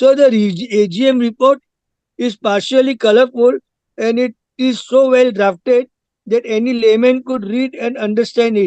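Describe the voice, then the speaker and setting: The voice, with an Indian accent, has a dry, close sound with no echo. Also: man, extremely high pitch for a man, fairly even intonation, moderate pace. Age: 80s+. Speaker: shareholder. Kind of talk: shareholder speech at company meeting. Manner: formal; halting.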